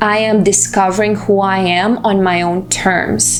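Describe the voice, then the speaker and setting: A woman with a Russian accent speaks in a medium pitch with a monotone, flat intonation at a fairly slow pace. Music plays in the background, and the room echo is audible. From Russia, Moscow. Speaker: vlogger. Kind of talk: personal vlog monologue.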